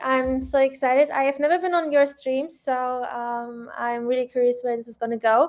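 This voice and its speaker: A woman speaks with a non-native accent. Her pitch is high, with ordinary variation. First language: not English. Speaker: trader, stream guest. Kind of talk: live stream chat.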